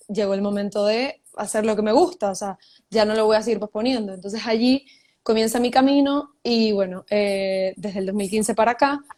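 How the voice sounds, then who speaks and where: The speaker has a Venezuelan accent and ordinary pitch variation. The recording is very clean, with a silent background. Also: woman. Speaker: writer and journalist. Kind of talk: casual interview.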